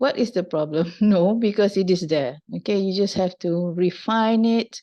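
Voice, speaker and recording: Against a quiet background, a woman speaks at medium pitch and a moderate pace in a dark, mellow tone with a non-native accent, ordinary pitch variation and very even loudness. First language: not English. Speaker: university lecturer. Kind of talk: lecture. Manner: halting.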